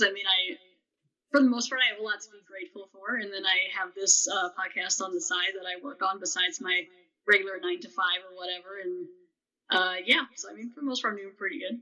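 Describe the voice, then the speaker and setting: The speaker races along at a very fast pace with lively intonation and big swings in loudness. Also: woman. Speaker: podcast host and plant scientist guest. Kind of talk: casual interview chat. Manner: hesitant, many ums.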